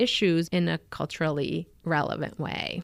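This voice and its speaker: A woman speaks in a Spanish accent at a fairly low pitch. The recording is very clean, with a silent background. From Argentina. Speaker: physician, endocrinologist. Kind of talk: radio interview.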